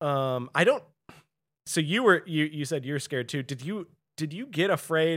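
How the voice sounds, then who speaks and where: A man with an ordinary speaking voice and a fairly high pitch talks at a moderate pace with ordinary pitch variation, in a very clean recording with a silent background. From US Midwest, St. Louis. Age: 30s. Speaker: podcast guest. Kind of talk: casual chat.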